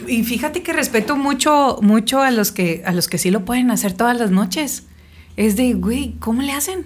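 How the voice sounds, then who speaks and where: Speaking at a moderate pace, a woman sounds animated, her intonation lively. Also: fairly high pitch for a woman. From Mexico, Sonora (Navojoa). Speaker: singer. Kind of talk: casual interview.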